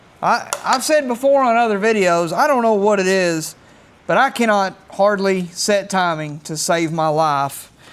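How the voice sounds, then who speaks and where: The speaker mumbles at a fairly slow pace. The intonation is lively. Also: man, high pitch for a man. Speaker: DIY mechanic YouTuber. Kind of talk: casual work narration. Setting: home workshop. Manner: mumbling.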